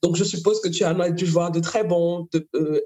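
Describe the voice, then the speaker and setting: Speaking fairly slowly, a woman uses a normal speaking voice with a fairly low pitch. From Cameroon. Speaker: podcast host, literary magazine founder. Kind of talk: interview conversation.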